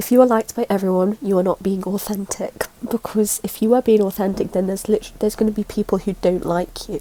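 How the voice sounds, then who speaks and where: Over noticeable background noise, a woman talks at a very fast pace with monotone, flat intonation. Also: medium pitch for a woman, hardly any pauses. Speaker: spiritual content creator. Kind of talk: casual talk to camera.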